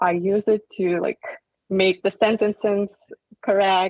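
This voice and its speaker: Speech comes at a very slow pace with a non-native accent. The intonation is monotone and flat, and the sound is dry and close with no echo. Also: woman. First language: not English. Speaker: company employee on panel. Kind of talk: casual panel discussion.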